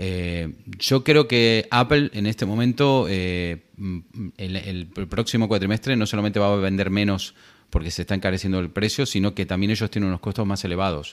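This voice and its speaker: A man with an unremarkable speaking voice, fairly low in pitch, with ordinary pitch variation at a moderate pace. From Argentina. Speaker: tech podcaster. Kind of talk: casual chat.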